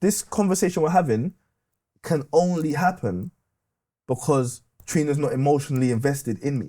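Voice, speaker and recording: The voice is dark, mellow and somewhat breathy, moving at a moderate pace with lively intonation and long, frequent pauses. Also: man, fairly high pitch for a man. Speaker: podcast guest, retired gas engineer. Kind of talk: casual chat.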